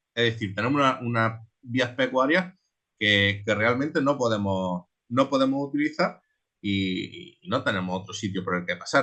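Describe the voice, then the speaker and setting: Speaking fairly slowly, a man holds a medium pitch with ordinary pitch variation. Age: 20s. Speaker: transhumant shepherd. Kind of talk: online seminar talk. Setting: online seminar. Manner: halting, many repetitions.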